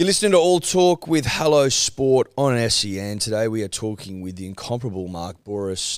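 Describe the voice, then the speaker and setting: On a very clean recording with a silent background, a man with an Australian accent speaks at a moderate pace with lively intonation. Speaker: podcast co-host. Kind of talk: casual podcast interview. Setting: studio.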